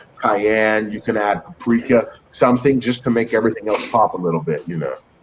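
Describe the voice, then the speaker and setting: A man with an American accent speaks at a fairly quick pace. Noticeable background noise runs underneath. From US West Coast, San Francisco Bay Area. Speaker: cook and social media creator. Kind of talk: casual chat.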